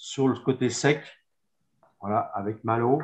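Very slow speech from a man, quiet background behind him. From Savoie, France; France. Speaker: winegrower. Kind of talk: wine presentation. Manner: halting, many hesitations. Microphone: video call.

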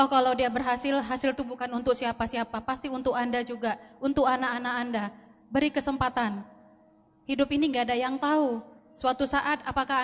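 A woman speaks at a very fast pace with a high pitch. Her intonation is monotone and flat. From Indonesia, Medan (North Sumatra); North Sumatra, Indonesia. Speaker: network marketing distributor; speaker. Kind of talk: motivational talk on stage. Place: hall.

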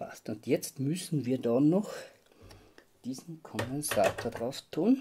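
Through noticeable background noise, a man with a fairly high pitch and a dark, mellow tone speaks at a very slow pace with lively intonation and long, frequent pauses. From Austria. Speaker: model railway hobbyist. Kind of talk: tutorial. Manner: halting. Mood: calm, focused. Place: workshop. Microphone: phone near.

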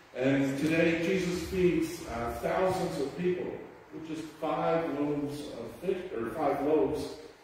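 A man talks with ordinary pitch variation. Strong room echo surrounds him, over light background noise. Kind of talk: liturgical welcome and introduction. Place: church. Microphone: camera far.

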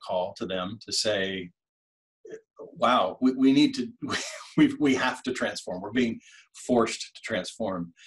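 Fairly slow male speech with an American accent and ordinary pitch variation over a quiet background. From Washington State, US. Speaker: tech company customer success manager. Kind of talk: casual interview chat. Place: home room. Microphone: webcam.

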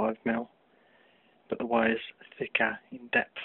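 A man talks quietly at a fairly slow pace. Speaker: DIY hobbyist. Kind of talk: tutorial; casual tutorial. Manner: hesitant, many fillers. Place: home room. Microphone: phone near.

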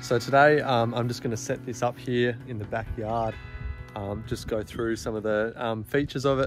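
A man's flat, monotone voice at a moderate pace, dry with no echo, music playing in the background. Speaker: gear reviewer. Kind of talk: casual vlog chat. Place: garden. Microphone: phone near.

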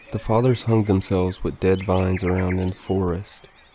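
The delivery is deadpan, with fairly even intonation, at a moderate pace. Background noise is noticeable. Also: man. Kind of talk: scripted horror narration. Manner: grave, measured, deadpan storytelling with ominous tone.

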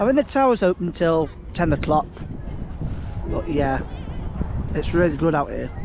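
Dry sound with no echo, a moderate pace and noticeable background noise. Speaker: vlogger. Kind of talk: casual vlog chat. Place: beach. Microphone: phone near.

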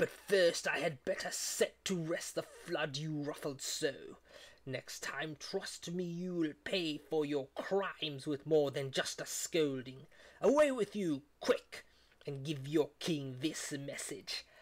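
Fairly slow speech in a put-on character voice, pitched in the middle range. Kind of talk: epic poetry reading. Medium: read story. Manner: commanding, scolding.

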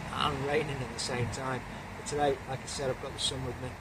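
A man's voice amid loud background noise. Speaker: urban explorer vlogger. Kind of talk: casual vlog intro. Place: open country.

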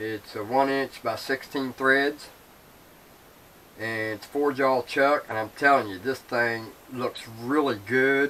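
This man's pitch varies in an ordinary way. His pace is fairly slow. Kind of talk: casual vlog chat. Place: workshop. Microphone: camera far.

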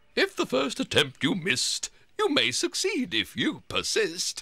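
Putting on a character voice, a man talks at a moderate pace. His pitch sits extremely high. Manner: singsong, rhyming, aloof.

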